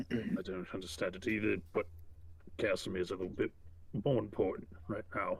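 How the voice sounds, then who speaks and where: Putting on a character voice, a man talks raspily at a fairly quick pace in a fairly low pitch, broken by long, frequent pauses. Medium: actual play. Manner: blunt, direct.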